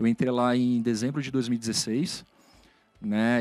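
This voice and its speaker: A man with a medium pitch and fairly even intonation speaks on a very clean recording with a silent background. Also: dry, close sound with no echo. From Brazil, moved around; family from southern Minas Gerais. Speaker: IT executive. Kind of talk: career interview. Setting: studio. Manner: hesitant, many filler sounds.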